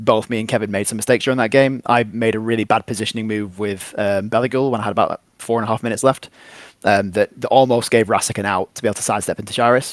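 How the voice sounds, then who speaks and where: At a very fast pace, a man with a medium pitch and an English accent speaks in a monotone, flat intonation. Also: dry, close sound with no echo. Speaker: tabletop wargame tournament player. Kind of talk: casual interview.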